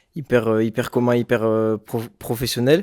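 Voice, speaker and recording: A man at medium pitch and moderate pace, in a very clean recording with a silent background. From France, Bordeaux. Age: 20s. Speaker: rapper. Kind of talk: interview. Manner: hesitant, many fillers.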